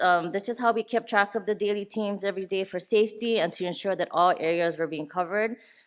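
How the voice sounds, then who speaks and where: The speaker is a woman talking at a fairly quick pace. Her pitch varies in an ordinary way. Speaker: public health nursing official presenting. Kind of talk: conference presentation.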